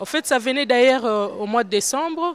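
Lively intonation marks this woman's speech with a Congolese accent, in a dry sound with no echo. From DR Congo. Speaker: women's political activist. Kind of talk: interview. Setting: conference forum. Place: hall. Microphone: handheld.

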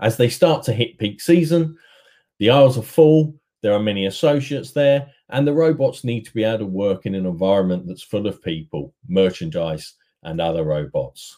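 A man with a fairly low pitch and a dark, mellow tone, at a moderate pace with ordinary pitch variation.

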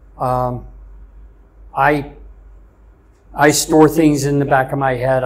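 Somewhat breathy and fairly high-pitched, a man speaks with an American accent. He keeps a moderate pace in a monotone, flat intonation. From US South. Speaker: chef; interviewee. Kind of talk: interview. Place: office. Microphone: lapel.

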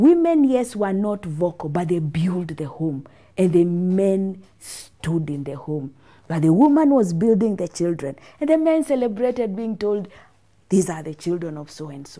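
Against a quiet background, a woman talks at a moderate pace with very wide pitch swings, big swings in loudness, and long, frequent pauses. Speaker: business coach guest. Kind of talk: interview answer. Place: studio. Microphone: lapel.

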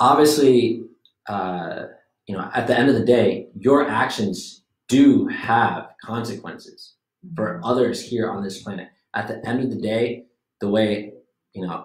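A man at a fairly slow pace with ordinary pitch variation, audible room echo and a quiet background. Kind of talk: casual discussion. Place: meeting room. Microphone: camera far.

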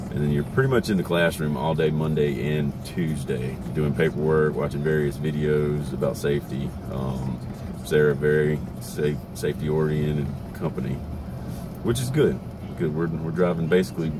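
Noticeable background noise runs behind the voice. A man talks at a moderate pace. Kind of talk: casual vlog chat. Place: car. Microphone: phone near.

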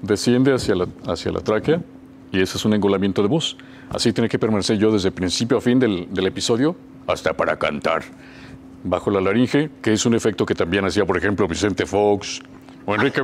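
Light noise sits behind speech that runs fairly quickly, its pitch varying in an ordinary way. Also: man, fairly low pitch for a man. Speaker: voice actor guest. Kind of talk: interview answer. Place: studio. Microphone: lapel.

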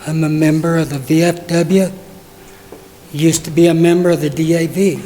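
A man with an American accent and a high pitch speaks in a flat, monotone way, with audible room echo and noticeable background noise. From southwest Colorado. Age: 80s+. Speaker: war veteran. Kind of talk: public comment. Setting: council meeting.

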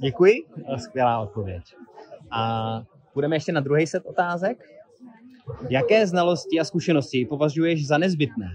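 With light background noise behind him, a man speaks at a moderate pace in a fairly high pitch, with very wide pitch swings and long, frequent pauses. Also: dry sound with no echo. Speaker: interviewer. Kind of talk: interview. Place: garden. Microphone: phone near.

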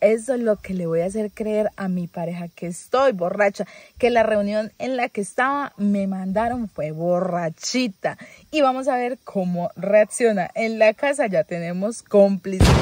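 Dry with no echo, a woman's voice moves at a fairly slow pace with ordinary pitch variation. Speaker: content creator. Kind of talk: casual vlog chat. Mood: playful, explains a prank. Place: car. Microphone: phone near.

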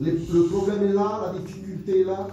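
A man with a high-pitched voice speaks at a moderate pace with fairly even intonation, and there is noticeable background noise. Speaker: preacher. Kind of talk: sermon in church, preaching with scripture quotes and calls to the congregation. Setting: church with congregation. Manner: fervent, exhortative, pleading tone, repeating phrases for emphasis; halting, stopping and restarting sentences mid-thought.

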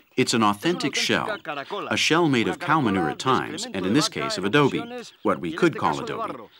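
Noticeable background noise is present throughout. A man's speech moves at a moderate speed. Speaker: presenter. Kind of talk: nature documentary presentation. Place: open country.

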